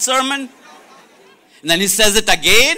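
A man speaks in a raised, projected voice with a bright, sharp tone. His delivery is animated, at a moderate pace with ordinary pitch variation. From India. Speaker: preacher. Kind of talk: sermon. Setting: stage with audience.

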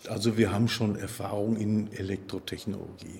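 A man with a fairly low-pitched voice. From Dortmund, Ruhr area. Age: 50s. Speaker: workshop shift supervisor. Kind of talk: interview.

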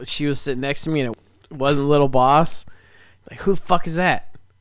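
A man's voice, fairly high in pitch. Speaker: podcast co-host. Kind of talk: casual chat. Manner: loud.

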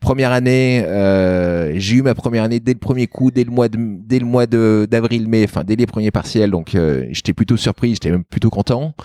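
A man's dark, mellow voice at a medium pitch, with ordinary pitch variation, a moderate pace, hardly any pauses, and a dry, close sound with no echo. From France, Lyon. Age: 30s. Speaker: local politician. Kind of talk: interview. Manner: halting.

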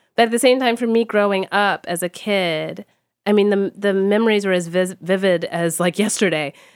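Speaking in a plain, everyday voice, a woman with an American accent keeps a medium pitch and fairly even intonation at a moderate pace, on a very clean recording with a silent background. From Texas. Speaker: fashion studies professor. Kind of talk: interview conversation.

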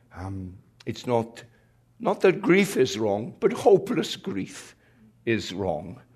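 Very slow with long, frequent pauses, a man's somewhat breathy voice moves through very wide pitch swings over a quiet background. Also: medium pitch for a man, big swings in loudness. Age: 80s+. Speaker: retired pastor. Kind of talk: sermon.

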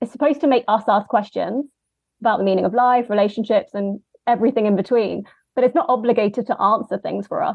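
Someone talks very fast in a London accent, with ordinary pitch variation. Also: woman. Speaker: film editor and writer. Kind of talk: casual chat.

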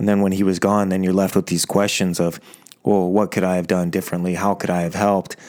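Over noticeable background noise, a man with a very deep, low pitch speaks very fast in a monotone, flat intonation at very even loudness. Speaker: podcast host. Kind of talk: interview. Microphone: old microphone with echo.

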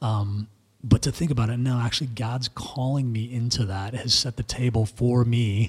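Somewhat breathy, a man talks at a moderate pace. His intonation stays fairly even. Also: medium pitch for a man. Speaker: podcast co-host discussing theology. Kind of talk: casual theological discussion. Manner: halting, many fillers.

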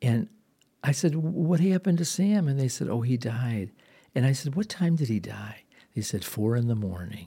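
Recorded very cleanly against a silent background, a man with a somewhat breathy, dark, mellow tone speaks at medium pitch and a moderate pace with very wide pitch swings. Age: 60s. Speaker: pastor and registered nurse. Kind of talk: devotional podcast talk. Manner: hesitant, with fillers.

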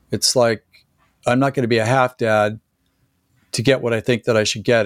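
Very fast and monotone, a man speaks at medium pitch with flat intonation. The recording is very clean, dry and close, with no echo and a silent background. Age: 60s. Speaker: performance coach and former chiropractor. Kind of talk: casual interview conversation.

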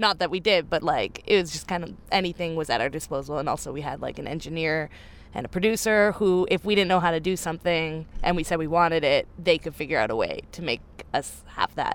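Speaking at a fairly quick pace, a woman with a fairly low pitch and ordinary pitch variation has an unremarkable speaking voice. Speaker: band member. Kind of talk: casual interview chat. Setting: tour van. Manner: joking, chatty.

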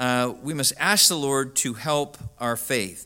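A man's voice has a bright, sharp tone. The recording is very clean, with a silent background. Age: 50s. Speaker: pastor. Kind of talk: sermon.

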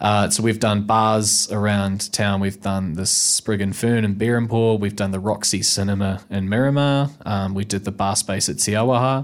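This man speaks with a New Zealand accent at a moderate pace. His pitch is fairly low and his intonation fairly even. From New Zealand, Nelson. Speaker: actor. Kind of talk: casual chat. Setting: studio.

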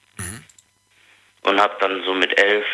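This man's voice sits at a fairly low pitch. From Africa. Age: 20s. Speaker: caller. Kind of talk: personal testimony on phone.

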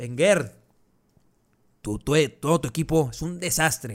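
A man at a fairly slow pace, with ordinary pitch variation, on a very clean recording against a silent background. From Mexico. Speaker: football podcast host. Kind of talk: solo sports analysis podcast.

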